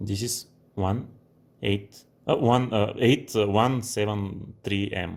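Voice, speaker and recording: A very slow, fairly even delivery in a non-native accent. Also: man, fairly low pitch for a man. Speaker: computer hardware user filming a support video. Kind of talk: unedited hands-on demonstration. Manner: halting, many false starts.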